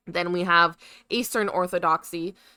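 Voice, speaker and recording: A woman speaks at a fairly slow pace in a bright, sharp tone. The sound is dry and close with no echo, on a very clean recording with a silent background. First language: Spanish. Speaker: podcast co-host. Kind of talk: reading research notes aloud on a live stream. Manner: halting over hard words.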